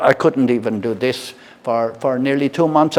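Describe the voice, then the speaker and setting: Noticeable background noise sits under this recording. A man speaks at medium pitch and a moderate pace. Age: 60s. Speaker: product reviewer. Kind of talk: casual product review and demo. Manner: halting, many fillers and repeats.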